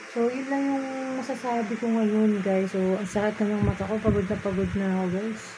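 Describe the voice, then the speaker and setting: A woman's fairly quick delivery, its intonation fairly even, comes through noticeable background noise. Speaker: vlogger. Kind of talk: casual vlog chat. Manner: tired, sleepy voice, worn out. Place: home room. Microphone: phone near.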